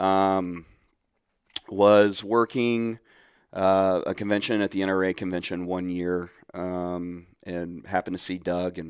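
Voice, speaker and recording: On a very clean recording with a silent background, a man with a Midwestern American accent talks at a very deep, low pitch with ordinary pitch variation. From Central Ohio. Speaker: nonprofit program director. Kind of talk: podcast interview.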